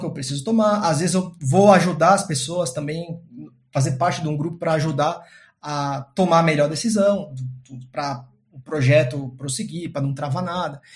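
With music in the background, a man talks at a moderate pace in a fairly high pitch with ordinary pitch variation. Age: 30s. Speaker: data science team lead. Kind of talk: interview. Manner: halting.

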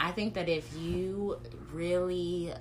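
This is a woman speaking. Room echo can be heard. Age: 30s. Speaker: marketer and writer. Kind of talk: casual chat.

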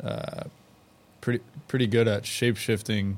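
Speaking in an American accent, a man keeps a monotone, flat intonation. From Houston, Texas. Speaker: public sculpture artist. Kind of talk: casual chat.

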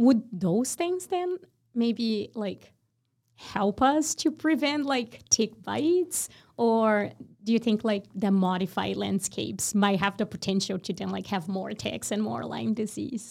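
In a very clean recording with a silent background, a woman with a Portuguese accent speaks fairly slowly, her fairly high voice carrying lively intonation. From Brazil. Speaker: podcast host, graduate student researcher. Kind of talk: casual interview.

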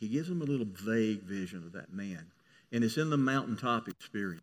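A man with a Southern US accent, medium pitch, lively intonation and a fairly quick pace, against a quiet background. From US South. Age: 70s. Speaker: pastor. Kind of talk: sermon.

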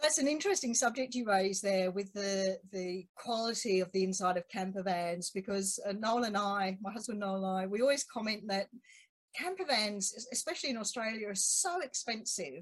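This woman's voice is somewhat breathy. Her pitch is medium, with ordinary variation. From UK. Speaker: podcast host. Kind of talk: casual interview. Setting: video call.

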